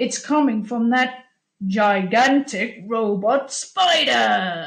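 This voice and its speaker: Using a put-on character voice, a woman with a fairly high pitch speaks at a very slow pace with lively intonation. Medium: read story.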